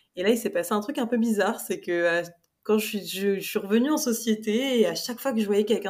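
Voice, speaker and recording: On a very clean recording with a silent background, this woman has an unremarkable speaking voice, keeps a moderate speed, and lets her pitch vary in a normal way. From Paris, France. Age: 20s. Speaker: fiction author. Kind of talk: casual interview chat.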